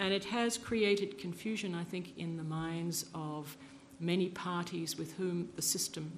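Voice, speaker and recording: The intonation is fairly even. There is vocal fry in the voice. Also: woman. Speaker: former UN refugee protection official. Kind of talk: panel discussion. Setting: conference panel with audience.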